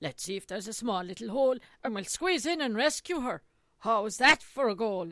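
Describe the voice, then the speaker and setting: A woman uses a put-on character voice with an Irish accent, talking at a fairly quick pace. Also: fairly high pitch for a woman. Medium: read story.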